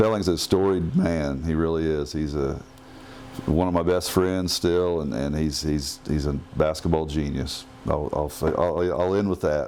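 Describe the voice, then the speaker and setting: A man with an American accent talks at a moderate pace in a very deep, low pitch. His intonation is fairly even, and there is noticeable background noise. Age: 60s. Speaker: former basketball player and referee. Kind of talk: casual chat.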